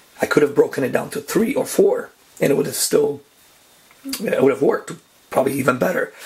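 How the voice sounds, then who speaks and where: A man talks here. Noticeable background noise can be heard too. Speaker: darkroom photographer. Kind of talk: casual how-to talk to camera.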